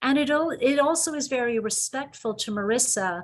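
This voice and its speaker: Her Irish accent carrying lively intonation, a woman speaks at a moderate pace. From Ireland. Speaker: psychologist and university president. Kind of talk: webinar presentation. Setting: video call.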